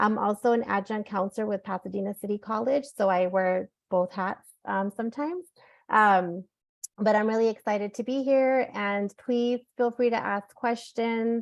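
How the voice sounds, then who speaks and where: A woman's fairly high voice with ordinary pitch variation. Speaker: school counselor. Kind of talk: presentation workshop. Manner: fast.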